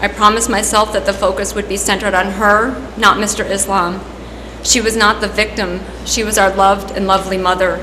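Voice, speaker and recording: Amid noticeable background noise, a woman at medium pitch speaks with monotone, flat intonation. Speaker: veterinarian. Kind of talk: victim impact statement.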